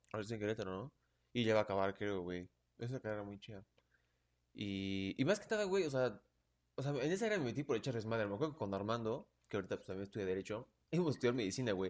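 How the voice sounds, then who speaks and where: The speaker, with a Mexican accent, talks very fast with ordinary pitch variation on a very clean recording with a silent background. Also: man, fairly low pitch for a man. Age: 20s. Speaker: law student. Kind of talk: casual chat.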